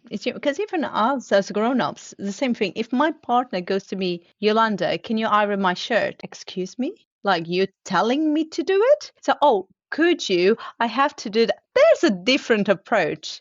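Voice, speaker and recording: In a Portuguese accent, a woman speaks at a moderate pace and fairly high pitch with very wide pitch swings. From Portugal. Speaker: continuous improvement leader. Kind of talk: podcast interview.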